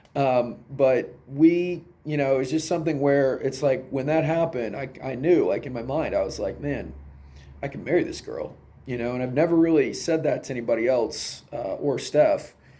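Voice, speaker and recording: A man's fairly high-pitched voice with fairly even intonation and audible room echo. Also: moderate pace. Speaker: vlogger answering a question. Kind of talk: casual storytelling monologue. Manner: halting, many fillers.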